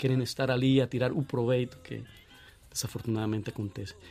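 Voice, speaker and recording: The speaker has a Colombian accent. The intonation is flat and monotone. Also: man. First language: Spanish (speaking Portuguese). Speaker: guest from Colombia. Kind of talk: casual chat. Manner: halting.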